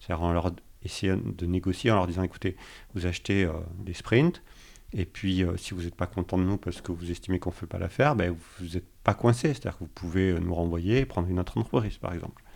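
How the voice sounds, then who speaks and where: This very clean recording has a silent background. A man talks very fast in a very deep, low pitch with ordinary pitch variation. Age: 40s. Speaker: agile coach. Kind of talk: casual interview.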